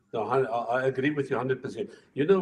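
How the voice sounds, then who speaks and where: A somewhat breathy man at a medium pitch, talking at a very fast pace. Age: 60s. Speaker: retired racing driver. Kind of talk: casual chat.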